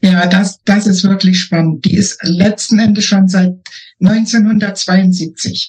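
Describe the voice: This woman's voice carries a slightly husky edge. She speaks at a fairly slow pace. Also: medium pitch for a woman, fairly even intonation.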